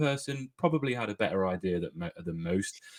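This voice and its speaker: A man is speaking. His intonation is lively. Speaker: football podcast host. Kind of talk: podcast interview.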